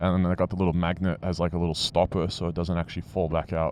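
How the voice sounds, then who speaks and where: A man with an Australian accent speaks at a very fast pace in a very deep, low pitch. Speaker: motovlogger. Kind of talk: casual vlog talk.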